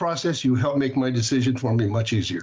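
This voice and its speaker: A man talks at a very fast pace in a medium pitch with ordinary pitch variation. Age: 70s. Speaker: state senator. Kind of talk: testimony. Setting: committee hearing. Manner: halting.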